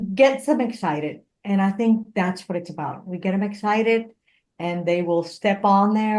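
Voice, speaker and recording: Speaking at a moderate pace with a Spanish accent, a woman is heard over a quiet background. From Puerto Rico. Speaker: engineer, motivational speaker and comedian. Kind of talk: interview conversation. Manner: animated.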